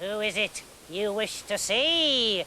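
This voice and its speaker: A man puts on a character voice pitched high, with clear background noise behind him. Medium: read story. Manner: suspicious, tart.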